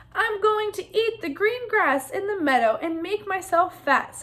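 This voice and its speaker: A woman uses a put-on character voice, extremely high and squeaky. She speaks at a moderate pace. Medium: read story. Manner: chatty, self-satisfied.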